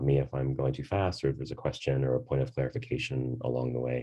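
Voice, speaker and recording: The tone is dark and mellow. The pace is very fast. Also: man. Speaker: grant writing advisor. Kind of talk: information session presentation. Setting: video call.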